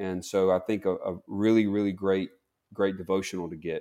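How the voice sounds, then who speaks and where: A man with a Southern accent speaks at a moderate pace in a dark, mellow tone. His pitch is fairly low, and the recording is very clean with a silent background. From US South, Mississippi. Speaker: clinical psychologist. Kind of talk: interview.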